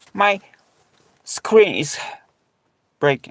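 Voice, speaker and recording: Recorded in a dry, close sound with no echo, a man speaks at a very slow pace with ordinary pitch variation. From Poland. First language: Polish. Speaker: live streamer and ocarina player. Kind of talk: casual live stream chat. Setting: reworked garage, live stream from laptop. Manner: halting, many fillers. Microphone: low stream quality from old laptop.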